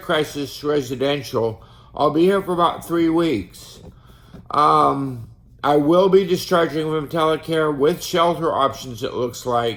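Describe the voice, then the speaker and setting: Speaking at a fairly slow pace, a man has a fairly high-pitched voice. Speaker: artist and homeless vlogger with schizophrenia. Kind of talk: personal video diary. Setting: outdoors at a bus stop.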